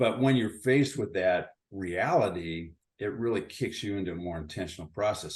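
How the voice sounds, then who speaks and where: In a quiet background, a man with a fairly low pitch and lively intonation has an unremarkable speaking voice. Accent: American. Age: 60s. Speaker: retired company founder. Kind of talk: interview.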